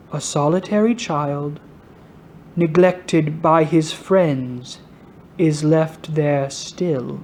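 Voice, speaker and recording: In a put-on character voice at a middle pitch, the speaker goes very slowly with long, frequent pauses. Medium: read story. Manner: calm, solemn.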